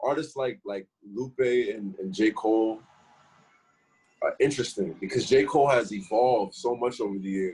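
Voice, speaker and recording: A man talks at a moderate pace and a medium pitch. His pitch varies in an ordinary way. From New York, Harlem. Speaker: rapper. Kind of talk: casual interview.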